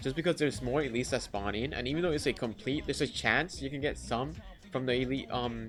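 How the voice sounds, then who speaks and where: A medium-pitched man talks very fast with lively intonation. Music runs in the background. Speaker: gaming youtuber. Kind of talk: tutorial. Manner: casual.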